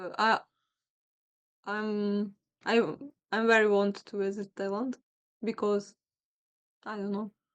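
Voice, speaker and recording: The delivery is fairly slow, with long, frequent pauses and a monotone, flat intonation. Loudness swings widely. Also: woman, medium pitch for a woman. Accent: Ukrainian. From Ukraine, Lviv. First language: Ukrainian. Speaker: video chat stranger. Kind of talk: casual chat. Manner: halting.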